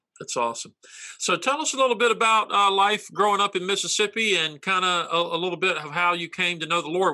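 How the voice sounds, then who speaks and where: With an American accent, a man speaks at a fairly quick pace in a raised, projected voice that is bright and sharp, high-pitched, with ordinary pitch variation. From North Carolina. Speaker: pastor and interview host. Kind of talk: casual interview conversation. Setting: video call.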